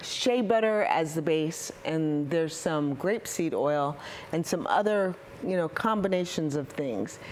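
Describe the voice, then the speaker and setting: Noticeable background noise runs behind a woman speaking at a fairly slow pace and fairly low pitch, with lively intonation and very even loudness. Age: 60s. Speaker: soap maker, small business owner. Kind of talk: interview.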